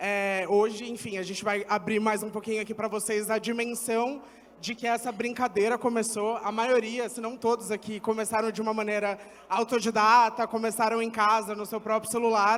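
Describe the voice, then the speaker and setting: A voice with a São Paulo accent speaks at a moderate pace in a flat, monotone way. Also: man, high pitch for a man. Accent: Paulistano Brazilian Portuguese. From Brazil, São Paulo east side. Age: 20s. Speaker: agency founder and content creator. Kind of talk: panel discussion. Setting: stage with audience.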